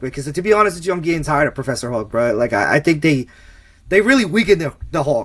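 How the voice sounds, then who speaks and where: Pitched fairly high, a man mumbles his words. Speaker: film commentary podcast co-host. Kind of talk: casual chat. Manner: mumbling.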